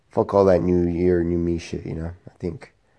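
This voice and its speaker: A man's very deep, low voice sounds out over a quiet background. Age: 40s. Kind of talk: casual vlog monologue. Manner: hesitant, many fillers.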